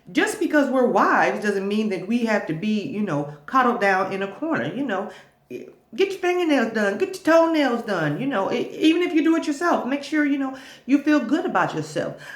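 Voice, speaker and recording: A loud woman speaks at a moderate pace, her high pitch making very wide swings. Noticeable background noise and audible room echo fill the recording. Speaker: vlogger giving marriage advice. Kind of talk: casual advice monologue to camera. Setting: makeshift home studio. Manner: halting with many repeats.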